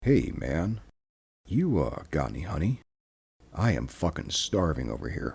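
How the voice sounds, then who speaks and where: Raspy and rumbling, a put-on character voice moves at a moderate pace with long, frequent pauses. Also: man, very deep, low pitch for a man. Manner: casual, pleading, hungry.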